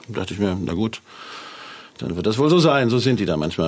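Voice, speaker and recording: Over noticeable background noise, a man speaks at a very fast pace and medium pitch. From northern Germany, near Hanover. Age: 60s. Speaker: musician. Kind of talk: casual interview.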